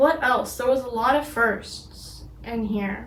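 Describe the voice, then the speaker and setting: With an American accent, a woman speaks at a very slow pace in a fairly high pitch with ordinary pitch variation. Audible room echo surrounds her voice. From US and Britain. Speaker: knitting vlogger. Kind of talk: casual vlog. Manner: halting, many fillers.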